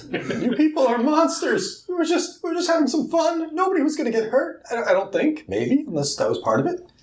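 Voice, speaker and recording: A man uses a put-on character voice at an extremely high pitch. He talks fairly quickly with hardly any pauses. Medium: actual play.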